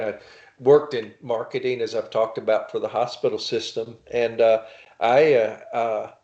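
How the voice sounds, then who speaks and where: A man talks in a Louisiana accent. His pace is moderate. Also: quiet background. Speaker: novelist and writing instructor. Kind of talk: casual interview chat. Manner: halting, many fillers.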